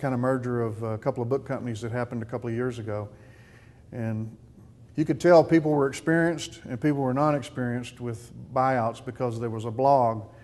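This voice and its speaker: With a Texan accent, a man talks at a fairly quick pace. His pitch is medium, with ordinary variation. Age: 60s. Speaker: business owner. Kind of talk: testimony. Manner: halting.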